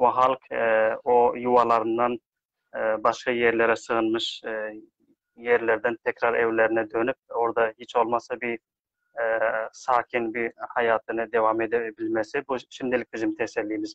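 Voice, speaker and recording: Speaking at a fairly slow pace, a man keeps a monotone, flat intonation in a dry sound with no echo. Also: quiet background. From Afghanistan. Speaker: aid worker; interview guest. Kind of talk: live online discussion. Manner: halting. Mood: calm, measured. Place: home room. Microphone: video call.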